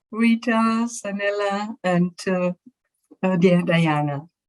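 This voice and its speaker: Her voice, a woman's in a German accent, sits at a medium pitch with ordinary pitch variation. The sound is dry and close, with no echo. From Germany. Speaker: physician and spiritual regression facilitator. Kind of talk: presentation. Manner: halting, with filler words.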